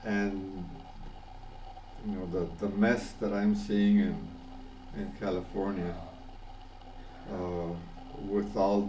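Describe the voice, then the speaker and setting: Over audible room echo, a man talks at a very slow pace and fairly low pitch, monotone and flat, with long, frequent pauses. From Panama. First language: Spanish. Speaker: vlogger. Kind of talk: personal video message. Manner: halting, many fillers and repetitions.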